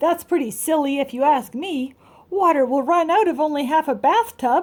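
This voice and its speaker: A woman uses a put-on character voice, high-pitched and raised to project. Her intonation is lively and her pace moderate. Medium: read story. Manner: earnest, matter-of-fact.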